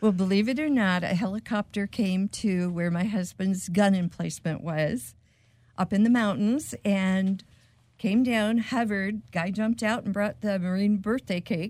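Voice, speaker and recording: This woman has a medium-pitched, somewhat breathy voice with ordinary pitch variation, recorded very cleanly against a silent background. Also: moderate pace. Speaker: widow of Marine veteran, donated truck. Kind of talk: casual radio interview. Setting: studio.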